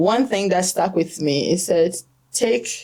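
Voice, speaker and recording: A fairly slow-paced woman with a Ghanaian accent, medium pitch and ordinary pitch variation. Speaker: stress and financial clarity coach. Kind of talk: podcast interview.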